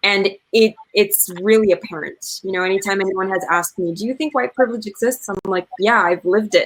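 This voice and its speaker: The speaker moves at a fairly quick pace with hardly any pauses and ordinary pitch variation. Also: woman, medium pitch for a woman. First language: Spanish. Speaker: storyteller and community advocate. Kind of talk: panel discussion.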